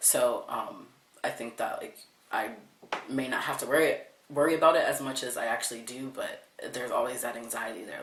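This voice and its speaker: Audible room echo, noticeable background noise, and a man speaking at a moderate pace. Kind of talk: interview testimony. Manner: casual, hesitant with fillers.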